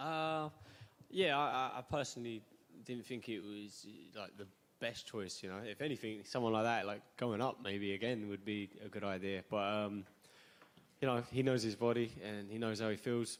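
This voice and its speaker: A man speaks with a Suffolk accent. His pitch is medium. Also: ordinary pitch variation, moderate pace. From England, Suffolk. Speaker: MMA fighter. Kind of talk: press conference answers. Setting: press conference. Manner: casual.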